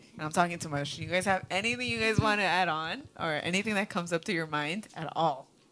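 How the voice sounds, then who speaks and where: Against noticeable background noise, a woman with a fairly low pitch speaks at a very fast pace with hardly any pauses and ordinary pitch variation. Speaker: youth group leader. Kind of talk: youth Bible study discussion. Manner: loud; halting, code-switching.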